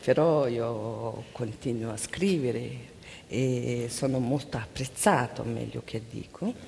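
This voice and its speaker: A woman with a Mongolian accent speaks very slowly in a very deep, low voice with ordinary pitch variation over light background noise. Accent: Mongolian-accented Italian. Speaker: interpreter. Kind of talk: consecutive interpreting. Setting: stage with audience. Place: stage. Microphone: headset.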